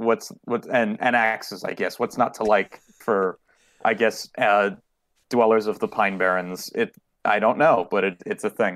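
A man with a plain, everyday voice speaks at a fairly low pitch. The recording is very clean, with a silent background and a dry, close sound with no echo. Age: 20s. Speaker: miniature painter and hobbyist. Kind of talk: casual chat.

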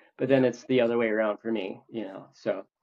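With an American accent, a man speaks in an ordinary speaking voice of medium pitch. His pace is moderate and his intonation fairly even. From US Midwest (Minnesota). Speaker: leather crafter. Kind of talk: casual chat.

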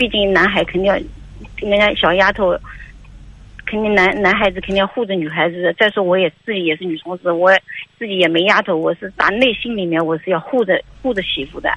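Amid noticeable background noise, a woman with a medium pitch and ordinary pitch variation speaks at a fairly quick pace, broken by long, frequent pauses. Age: 50s. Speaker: caller, mother-in-law seeking advice. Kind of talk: call-in advice conversation. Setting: phone call. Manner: halting, repetitive.

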